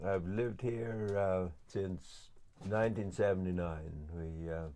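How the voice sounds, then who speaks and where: The tone is dark and mellow, delivered at a very slow pace. Audible room echo surrounds the voice. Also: man, very deep, low pitch for a man, ordinary pitch variation. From west of Ireland. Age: 60s. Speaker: woodworker and horseman. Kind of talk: interview. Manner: hesitant, many fillers and restarts.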